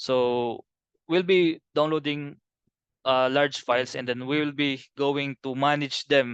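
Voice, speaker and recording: With a dry, close sound and no echo, a man speaks very slowly at a fairly high pitch, his intonation fairly even. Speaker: BIM trainer. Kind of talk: webinar presentation. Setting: video call. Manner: halting.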